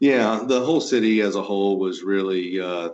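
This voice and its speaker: With a Southeast Texas accent, a man speaks at fairly low pitch with ordinary pitch variation. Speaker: home automation integrator business owner. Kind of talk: interview.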